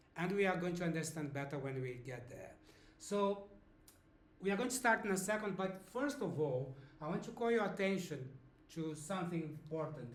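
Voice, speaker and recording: Over noticeable background noise and audible room echo, a man speaks at a high pitch with lively intonation. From Brazil, Sao Paulo. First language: Portuguese. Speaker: language teacher. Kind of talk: lesson. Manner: slow, explanatory with fillers.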